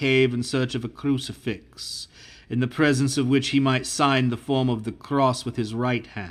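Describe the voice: What you hear is plain reading aloud.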